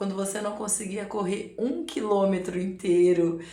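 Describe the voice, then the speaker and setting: Fairly slow speech from a woman, with noticeable background noise and audible room echo. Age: 40s. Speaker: amateur runner and vlogger. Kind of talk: casual advice talk to camera. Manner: conversational, frequent filler 'né'.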